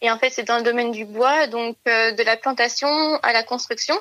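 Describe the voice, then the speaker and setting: A woman speaks in a bright, sharp tone at a fairly high pitch. Her intonation is fairly even and her pace moderate. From rural France. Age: 20s. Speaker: engineering student. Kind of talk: interview testimony. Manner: hesitant, many filler sounds.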